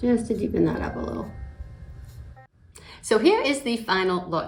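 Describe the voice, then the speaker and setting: A woman talks fairly quickly, with audible room echo and noticeable background noise in the recording. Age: 60s. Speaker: makeup vlogger. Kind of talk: tutorial. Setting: at home. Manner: casual, conversational with fillers.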